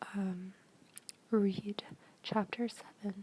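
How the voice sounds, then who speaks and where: A soft-spoken woman whispers at a very slow pace over noticeable background noise. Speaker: ASMR creator, college student. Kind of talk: whispered textbook reading. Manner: whispered, soft-spoken.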